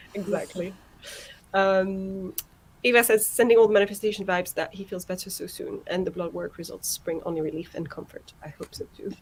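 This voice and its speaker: Somewhat breathy and medium in pitch, a woman speaks at a fairly quick pace with big swings in loudness. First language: not English. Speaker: livestream host. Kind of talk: casual chat. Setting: online group live stream. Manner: animated.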